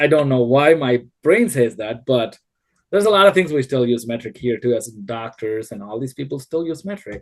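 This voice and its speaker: With an Indian accent, a man speaks at a moderate pace and medium pitch, using lively intonation and big swings in loudness. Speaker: civil engineer. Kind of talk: podcast interview. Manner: hesitant, many fillers.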